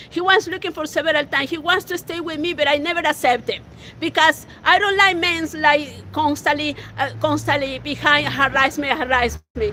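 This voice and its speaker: With a Spanish accent and high pitch, a woman speaks in a raised, projected voice over noticeable background noise. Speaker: local activist. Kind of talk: testimony. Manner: halting.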